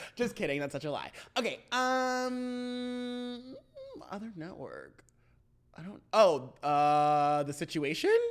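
The woman's voice sits at medium pitch but moves through very wide pitch swings and big swings in loudness. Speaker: podcast co-host. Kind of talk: casual chat. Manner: fast talker.

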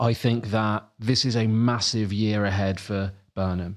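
A man with a southern English accent, fairly low in pitch and fairly even in intonation, in a very clean recording with a silent background. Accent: southern English, noticeable. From Sussex, southern England. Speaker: newsletter editor and journalist. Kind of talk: casual interview chat.

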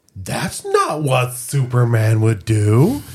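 A man puts on a character voice at a medium pitch. He talks at a very slow pace with ordinary pitch variation. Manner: whiny, pedantic.

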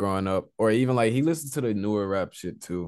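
Someone with a Texan accent talks at a very fast pace over a quiet background. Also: man. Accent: Texan American English. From Southeast Texas. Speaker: rapper. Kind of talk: casual interview.

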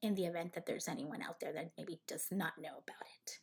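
On a very clean recording with a silent background, a woman speaks at a moderate pace in a somewhat breathy, medium-pitched voice with ordinary pitch variation. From northern Mexico (Sonora). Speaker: interior designer and podcast host. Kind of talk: casual monologue introduction. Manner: halting, many fillers.

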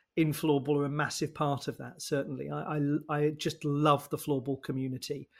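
A somewhat breathy voice at a moderate pace, on a very clean recording with a silent background. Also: man. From southeast England. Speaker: sports commentator. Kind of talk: casual interview. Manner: fluent, enthusiastic.

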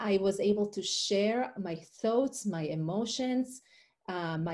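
Speaking slowly in an Israeli accent, a woman has a dark, mellow tone and a somewhat breathy, medium-pitched voice. Her pitch variation is ordinary, and the recording is very clean with a silent background. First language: Hebrew. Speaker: life coach and author. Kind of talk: interview conversation.

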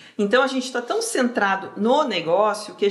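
A woman with a plain, everyday voice, fairly quick pace and lively intonation. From southern Brazil (Rio Grande do Sul). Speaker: career mentor. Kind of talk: casual interview chat.

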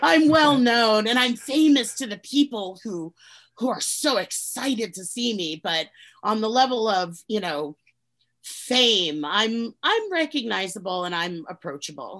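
A woman's fairly high voice at a fairly slow pace, with very wide pitch swings and big swings in loudness. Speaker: actress and podcaster. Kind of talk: casual interview chat.

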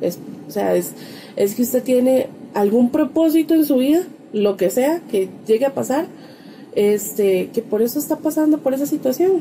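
The speaker talks at a moderate pace with lively intonation and very even loudness. Noticeable background noise runs underneath. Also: woman, high pitch for a woman. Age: 30s. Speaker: podcast co-host. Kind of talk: casual chat.

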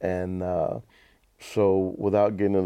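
A man with a Southern US accent speaks at a moderate pace in a very deep, low pitch. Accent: US South. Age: 60s. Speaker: basketball team owner and entertainment promoter. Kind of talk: casual interview.

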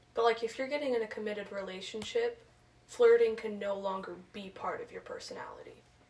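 Against noticeable background noise, a woman talks at a fairly quick pace. Her loudness swings a lot. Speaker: podcast co-host. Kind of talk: casual chat among friends.

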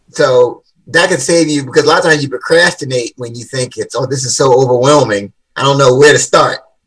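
In an American accent, a man with a normal speaking voice talks at a fairly quick pace, his fairly high pitch showing ordinary variation and big swings in loudness. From Washington D.C. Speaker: motivational speaker and author. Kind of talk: interview.

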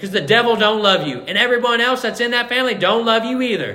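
A man's high-pitched, raised, projected voice amid noticeable background noise and audible room echo. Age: 20s. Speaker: pastor. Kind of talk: sermon.

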